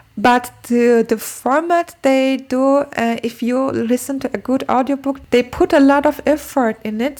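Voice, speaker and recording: The delivery is fairly slow with fairly even intonation. Noticeable background noise runs underneath. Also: woman. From Turkey. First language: Turkish. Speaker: book and language-learning vlogger. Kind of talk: casual vlog talk. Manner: halting, with fillers and repetitions.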